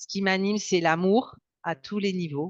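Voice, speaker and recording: A woman speaks at a very slow pace, recorded with a dry, close sound and no echo. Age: 60s. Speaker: dietitian and hypnotherapist. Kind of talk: interview. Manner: hesitant, many fillers.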